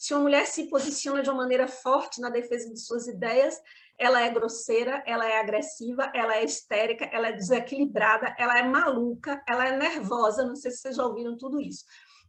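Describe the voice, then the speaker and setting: Fairly quick, high-pitched speech from a woman with fairly even intonation. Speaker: spiritist lecturer. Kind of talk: lecture. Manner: fast.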